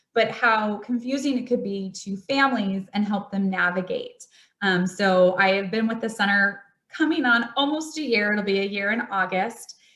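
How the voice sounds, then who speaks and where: The voice is loud, with a bright, sharp tone. It moves at a moderate pace. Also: woman, medium pitch for a woman, ordinary pitch variation. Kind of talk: presentation.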